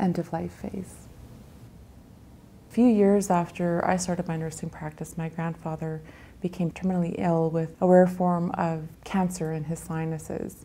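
A woman's fairly low voice, dark and mellow in tone, moves at a moderate pace with monotone, flat intonation. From Grand Rapids, Manitoba, Canada; Cree First Nation. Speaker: nurse. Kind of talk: interview answer. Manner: thoughtful, reflective. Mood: thoughtful, reflective, gently emotional.

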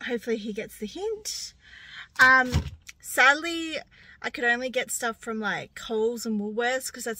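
A bright, sharp tone at a moderate pace, in a dry sound with no echo. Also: woman. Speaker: vlogger. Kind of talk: casual vlog chat. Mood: cheerful, playful. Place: car. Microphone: phone near.

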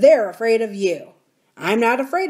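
Plain reading aloud carries lively intonation, with a quiet background behind it.

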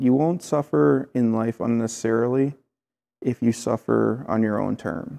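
With a Midwestern accent, a man talks in a dark, mellow tone with ordinary pitch variation against a quiet background. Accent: American Midwest. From Clinton, Iowa, USA. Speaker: painter and tattoo artist. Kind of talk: interview answer. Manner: casual, conversational. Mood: reflective, candid, some swearing. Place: home room. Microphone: lapel.

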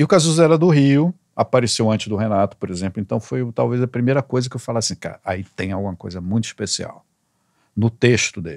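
A man talking very fast with lively intonation, dry sound with no echo, and a quiet background. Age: 60s. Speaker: songwriter; guest. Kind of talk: casual chat. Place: studio. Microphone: studio mic.

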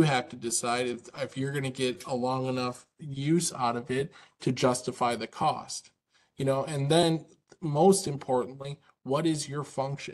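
With a fairly even intonation, this man keeps to a moderate speed. Nothing can be heard behind him. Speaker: presenter. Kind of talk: webinar presentation. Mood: warm, conversational, persuasive. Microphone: video call.

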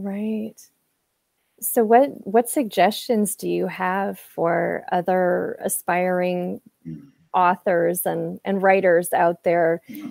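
A woman with an American accent at a very slow pace, with long, frequent pauses, big swings in loudness and ordinary pitch variation, in a dry sound with no echo over a quiet background. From US Midwest, Quad Cities area; US Midwest. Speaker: interview show host. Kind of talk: interview. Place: home room. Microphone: earbuds.

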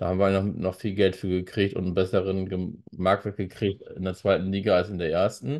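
With a quiet background behind him, a man speaks in a very deep, low pitch and a flat, monotone intonation. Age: 40s. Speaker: football YouTuber and author; football YouTuber. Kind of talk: solo commentary with read-aloud articles. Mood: critical, conversational. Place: home room.

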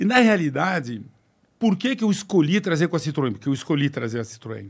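Very wide pitch swings mark the fairly quick speech of a man against a quiet background. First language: French (speaking Portuguese). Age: 60s. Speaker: business executive; guest. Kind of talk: podcast interview. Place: studio. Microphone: studio mic.

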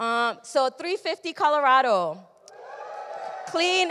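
The voice is raised and projected, moving at a very slow pace. Light background noise sits behind it. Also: woman. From Mexico. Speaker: event organizer and emcee. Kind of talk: event hosting. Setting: stage with audience. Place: hall. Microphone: handheld.

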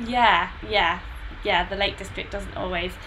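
A woman at a moderate pace, fairly even intonation, noticeable background noise behind her. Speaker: trail running channel host. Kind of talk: live chat interview host. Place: home room.

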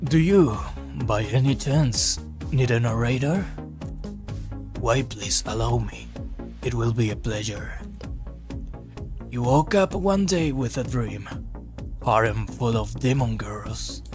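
Over loud music in the background, a put-on character voice moves at a fairly slow pace with long, frequent pauses. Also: man. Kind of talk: theatrical storytelling. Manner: polite, grand, amused.

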